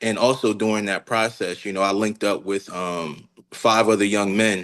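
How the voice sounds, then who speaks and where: An unremarkable speaking voice with an American accent, fairly even intonation and a moderate pace against a quiet background. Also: man, fairly low pitch for a man. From Newark, New Jersey. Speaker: dance teacher and studio owner. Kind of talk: interview. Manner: many fillers (um, you know).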